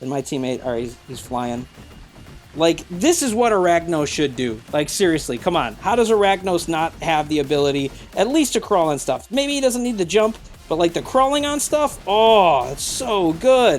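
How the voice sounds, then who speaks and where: Music in the background under speech at a moderate pace. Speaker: gaming youtuber. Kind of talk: gameplay commentary. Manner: animated.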